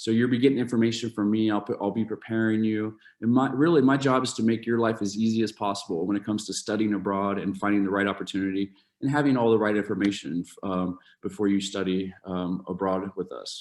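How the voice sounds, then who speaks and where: Over a quiet background, a man with an American accent talks at a very fast pace, his fairly low voice held to fairly even intonation. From Ohio, US. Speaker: university study abroad advisor. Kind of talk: informational presentation. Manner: halting, many fillers and repeats.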